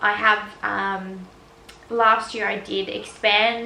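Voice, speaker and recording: A woman with an Australian accent talks at a medium pitch in a monotone, flat way. Audible room echo and noticeable background noise surround her. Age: 20s. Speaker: vlogger, fitness coach. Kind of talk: casual Q&A vlog.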